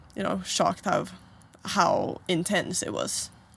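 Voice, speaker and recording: The speaker goes at a fairly slow pace in a Swedish accent. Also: woman. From Sweden, Stockholm. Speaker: college basketball player. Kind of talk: interview. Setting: in a trailer.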